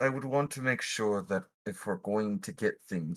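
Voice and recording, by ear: In a natural voice, someone reads aloud with a quiet background.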